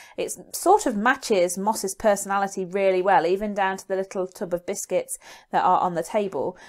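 A woman with a British accent speaks fairly quickly at medium pitch with fairly even intonation. The recording is very clean and the background silent. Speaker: GCSE media revision YouTuber. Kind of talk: educational tutorial. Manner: fast.

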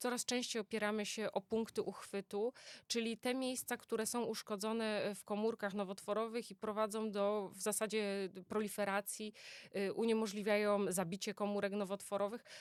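A woman speaks at a moderate pace with a fairly high pitch and monotone, flat intonation. The sound is dry and close with no echo, and the recording is very clean with a silent background. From Poland, Greater Poland (Poznań). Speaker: oncologist. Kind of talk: interview. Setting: studio.

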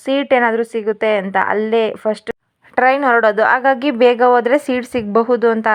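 Fairly high in pitch, this is a woman's voice. Her intonation stays fairly even. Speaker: family vlogger. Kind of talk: travel vlog. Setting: home, later train.

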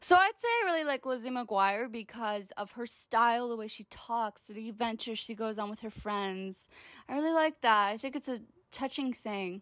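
An animated woman speaks at a moderate pace and fairly high pitch, with ordinary pitch variation and big swings in loudness. The sound is dry with no echo, and the background is quiet. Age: 20s. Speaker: comedy vlogger. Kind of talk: comedic vlog monologue. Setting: home recording to camera. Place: home room.

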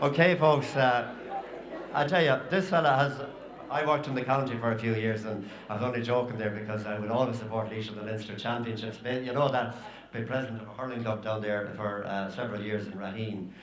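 With clear background noise behind him, a man talks at a fairly quick pace in a medium pitch, his intonation fairly even.

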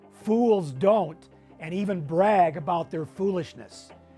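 Faint music sits in the background. A man with a high pitch talks with ordinary pitch variation. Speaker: finance course host. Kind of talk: lecture. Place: studio. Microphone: lapel.

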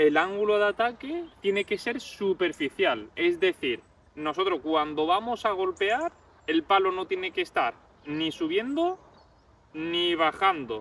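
A man speaks at a high pitch and a fairly slow pace with lively intonation, in a dry sound with no echo. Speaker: golf instructor. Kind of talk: tutorial. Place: open country. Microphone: camera far.

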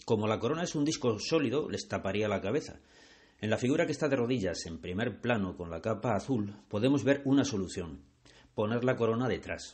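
A man with an ordinary speaking voice and medium pitch talks at a fairly quick pace with lively intonation. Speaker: art guide and video channel creator. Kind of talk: guided museum tour narration, art-history explanation. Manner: measured, didactic, formal; clear, even-paced, expository.

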